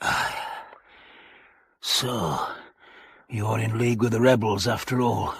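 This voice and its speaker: Using a put-on character voice, a man sounds raspy at a medium pitch, speaking at a fairly slow pace with long, frequent pauses. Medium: audio drama.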